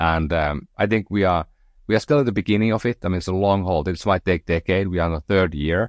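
Speaking very fast with a Finnish accent, a man has a very deep, low pitch with ordinary variation, the sound dry and close with no echo over a quiet background. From northern Finland. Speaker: entrepreneur. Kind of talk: interview conversation. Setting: remote call. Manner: halting, many fillers.

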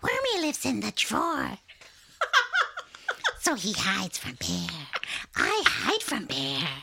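The speaker uses a put-on character voice with a playful tone. The pace is fairly slow, with long, frequent pauses. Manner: silly, playful.

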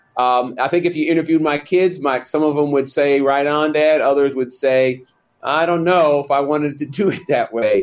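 With an American accent and a normal speaking voice, a man speaks at a moderate pace in a fairly high pitch, with fairly even intonation and very even loudness. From US Northeast, Long Island, New York. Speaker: lawyer and author. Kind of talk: interview.

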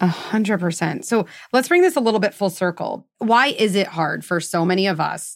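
On a very clean recording with a silent background, a woman talks in an unremarkable speaking voice at medium pitch with ordinary pitch variation. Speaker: podcast host, psychologist. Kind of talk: interview conversation.

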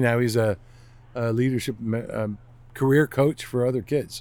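This man has an unremarkable speaking voice with a medium pitch. He talks at a moderate pace. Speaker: retired intelligence analyst, zoo train conductor. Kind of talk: casual interview.

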